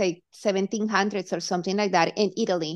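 A woman with a Colombian accent, medium pitch, and monotone, flat intonation. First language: Spanish. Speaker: hypnotherapist. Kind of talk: interview.

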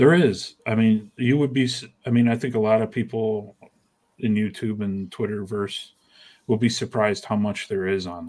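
Heard on a very clean recording with a silent background, a man with a plain, everyday voice speaks at a moderate pace in a fairly low pitch with ordinary pitch variation. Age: 50s. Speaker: comic artist and magazine creator. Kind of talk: casual chat.

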